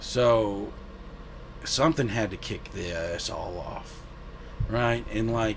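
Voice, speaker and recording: This man speaks at a very slow pace with an American accent, medium pitch, and ordinary pitch variation. His pauses are long and frequent, and room echo is audible. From US South. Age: 30s. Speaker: guest sharing faith testimony. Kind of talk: testimony. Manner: halting.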